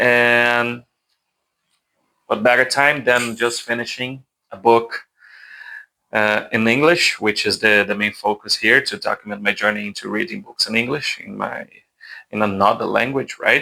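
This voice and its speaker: In a Portuguese accent, the speaker has a bright, sharp tone, a moderate pace, ordinary pitch variation and long, frequent pauses. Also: man, medium pitch for a man. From Brazil. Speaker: book YouTuber. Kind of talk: casual book review monologue. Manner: hesitant, with self-corrections and repetitions.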